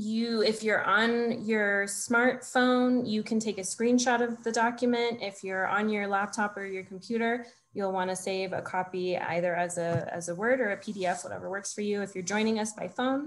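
A woman talks at a moderate pace with hardly any pauses. Her intonation stays fairly even. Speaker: webinar host. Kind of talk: housekeeping announcements. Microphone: video call.

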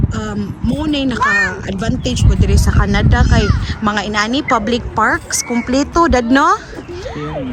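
The recording has noticeable background noise and audible room echo. The speaker keeps a fairly slow pace. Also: woman. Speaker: family vlogger. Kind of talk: casual vlog narration. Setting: outdoors in a park.

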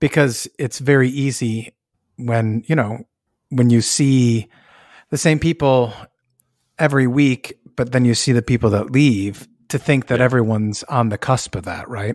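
Long, frequent pauses break up a man's moderate-paced, medium-pitched speech in a very clean recording with a silent background and a dry, close sound with no echo. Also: fairly even intonation. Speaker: podcast host and pastor. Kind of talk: casual theological discussion.

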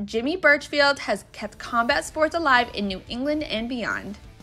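A raised, projected voice with lively intonation carries over music in the background. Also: woman. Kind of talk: news voiceover narration.

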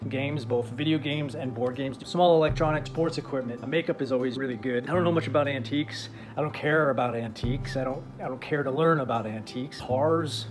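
A man talks at a very fast pace with fairly even intonation and hardly any pauses, clear music playing in the background. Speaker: online reseller. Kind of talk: casual vlog chat. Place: home room. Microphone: phone near.

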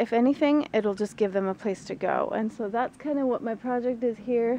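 A woman at a moderate pace, with ordinary pitch variation, dry sound with no echo and light background noise. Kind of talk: casual vlog chat. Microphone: phone near.

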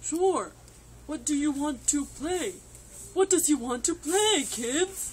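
A high, cartoonish character voice at a fairly slow pace, broken by long, frequent pauses over clear background noise. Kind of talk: children's puppet show. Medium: puppet.

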